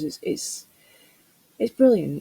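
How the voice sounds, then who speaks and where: Woman's voice, dark and mellow, somewhat breathy, in a dry, close sound with no echo. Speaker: craft video creator. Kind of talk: voiceover narration of a craft tutorial. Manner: halting, many fillers.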